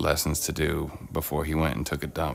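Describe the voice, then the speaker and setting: A man with a very deep, low pitch speaks at a moderate pace. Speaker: live streamer painting miniatures. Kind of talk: casual chat. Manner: casual, many fillers.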